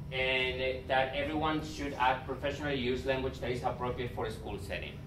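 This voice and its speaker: There's noticeable background noise as a man talks at a fairly quick pace. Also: medium pitch for a man, ordinary pitch variation. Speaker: school administrator. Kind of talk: presentation to parents.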